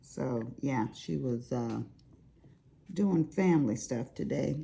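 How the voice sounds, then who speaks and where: In a Southern US accent, this voice moves at a very slow pace with vocal fry, very wide pitch swings and a dark, mellow tone. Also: woman, very deep, low pitch for a woman. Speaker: crafting YouTuber. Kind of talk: casual chat.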